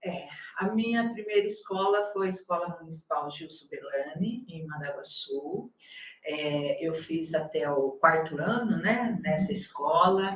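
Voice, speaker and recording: A woman with a plain, everyday voice speaks at a fairly slow pace in a medium pitch, with ordinary pitch variation and big swings in loudness. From Brazil, Paraná (near Maringá). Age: 60s. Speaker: university campus director, nurse by training. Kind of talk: interview.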